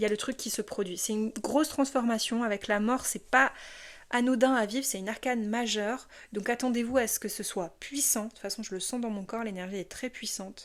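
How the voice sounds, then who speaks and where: A woman speaks at a fairly quick pace, her pitch fairly high. The recording is very clean, with a silent background. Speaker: tarot card reader. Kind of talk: tarot reading. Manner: animated.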